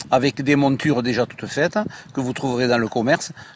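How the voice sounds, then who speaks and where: A man with a fairly high pitch talks at a fairly quick pace over noticeable background noise. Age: 60s. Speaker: choir director and angler. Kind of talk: radio interview. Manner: hesitant, many fillers.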